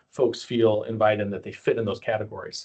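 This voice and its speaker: A man rattles along at a very fast pace, sounding somewhat breathy. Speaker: county parks and fair director. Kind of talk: informational presentation.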